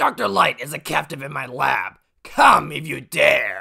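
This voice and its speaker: Someone puts on a raspy character voice. The pace is moderate. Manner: villainous, gloating then panicked.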